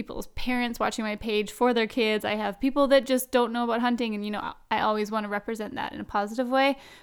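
Speaking very fast with hardly any pauses, a woman with a western Canadian accent uses a fairly high pitch and monotone, flat intonation on a very clean recording with a silent background. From Canada, Vancouver Island. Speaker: hunting personality. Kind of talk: casual interview.

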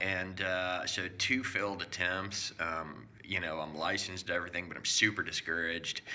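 A man's very deep, low voice with fairly even intonation at a moderate pace, over noticeable background noise. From South America. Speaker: home inspector. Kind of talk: casual chat.

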